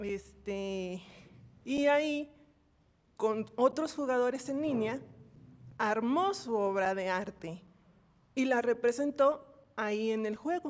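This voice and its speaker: Speaking very slowly with long, frequent pauses, a woman uses a high pitch and lively intonation. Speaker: course participant. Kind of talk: class discussion comment. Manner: soft-spoken.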